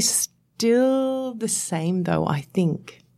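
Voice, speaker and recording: With a Swedish accent, a woman speaks at a medium pitch using lively intonation. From southern Sweden. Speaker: interior designer. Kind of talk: interview. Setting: studio.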